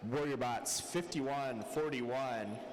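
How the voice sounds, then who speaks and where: Amid noticeable background noise and audible room echo, a man talks at a medium pitch. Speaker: robotics match announcer. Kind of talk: live commentary. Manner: soft-spoken.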